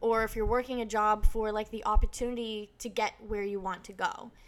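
A woman speaks with an American accent in a plain, everyday voice. Her pitch is fairly high and her intonation fairly even. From US Northeast (northern New Hampshire). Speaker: YouTuber. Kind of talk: casual chat. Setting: podcast interview.

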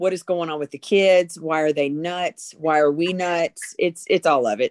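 The speaker has an American accent and a fairly slow pace with fairly even intonation. The sound is dry and close, with no echo. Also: woman. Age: 50s. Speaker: middle school teacher. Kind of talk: casual chat. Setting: video call. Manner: loud.

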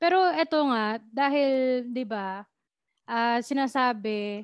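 Speaking very slowly, a woman shows ordinary pitch variation. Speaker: podcast host. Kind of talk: casual chat. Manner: animated.

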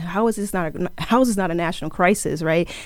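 With a normal speaking voice, a woman talks at a moderate pace in an American accent, her pitch fairly low. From New Jersey, Plainfield. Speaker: author and social justice instructor, former detective. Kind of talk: interview conversation.

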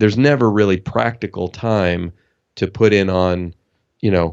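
This man has an ordinary speaking voice with a General American accent. His pitch is fairly low and his intonation fairly even. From US. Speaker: author and leadership coach. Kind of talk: interview.

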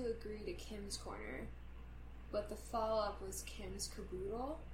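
Noticeable background noise behind a fairly slow pace. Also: woman. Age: 20s. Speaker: podcast co-host. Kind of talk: casual chat. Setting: living room couch. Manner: soft-spoken.

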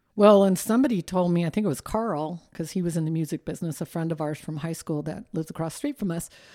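A woman with a Californian accent speaks very fast at a fairly low pitch in a dark, mellow tone with ordinary pitch variation, on a very clean recording with a silent background. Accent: Californian American. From southern California. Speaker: retired legal office worker. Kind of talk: casual chat.

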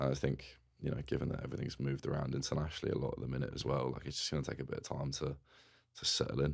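With an English accent, a man speaks at a very fast pace in a very deep, low pitch, his intonation monotone and flat, with vocal fry. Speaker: rugby player. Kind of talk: casual interview chat. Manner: casual, conversational.

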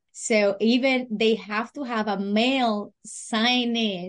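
Fairly even intonation marks this voice with a Spanish accent. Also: woman. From Puerto Rico. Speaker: freight business owner. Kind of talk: interview. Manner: halting.

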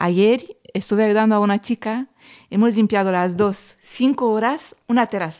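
A woman's medium-pitched voice with a Romanian accent, at a moderate pace with ordinary pitch variation. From southern Romania, near Craiova. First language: Romanian (speaking Spanish). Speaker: podcast co-host, cleaning and catering worker. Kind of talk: casual chat.

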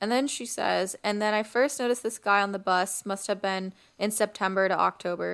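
A woman talks in an ordinary speaking voice at a medium pitch and a fairly quick pace. Her intonation stays fairly even, and the recording is very clean with a silent background. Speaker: podcast host. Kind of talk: casual podcast chat with reading Reddit stories aloud. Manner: playful, laughing banter.

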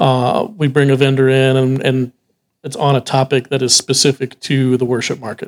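A man with an American accent and a normal speaking voice, medium in pitch, fairly even in intonation and moderate in pace, with a dry, close sound with no echo. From Texas. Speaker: music retail sales director. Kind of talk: casual interview chat. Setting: on location at a trade event.

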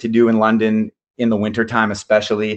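Using a normal speaking voice with a Canadian accent, a man talks at a moderate pace in a fairly low pitch. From Canada, Ontario. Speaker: jiu-jitsu brown belt. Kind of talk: casual chat.

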